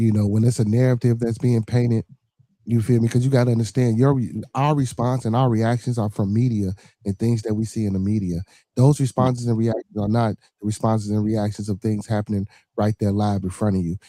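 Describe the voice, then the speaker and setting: A dark, mellow tone comes through in an American accent, recorded dry and close with no echo. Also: man, medium pitch for a man. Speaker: podcast host. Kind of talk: casual chat. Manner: animated.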